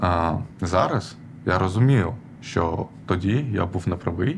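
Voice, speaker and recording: A man with a very deep, low voice and an Armenian accent. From Odesa, southern Ukraine. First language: Armenian (speaking Ukrainian). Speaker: activist, programmer. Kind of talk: personal story told from stage. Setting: stage with audience. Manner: halting, many fillers.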